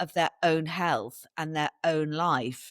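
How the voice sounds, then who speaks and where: A woman with an English accent in an animated tone at a fairly slow pace, dry and close with no echo, on a very clean recording with a silent background. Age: 60s. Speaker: wellness event organiser and podcaster. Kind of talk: podcast interview.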